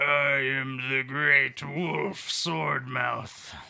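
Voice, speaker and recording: Using a put-on character voice, a man speaks with a raspy sound at a medium pitch. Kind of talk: mock-solemn fantasy pronouncement. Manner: grandiose, then flustered and apologetic.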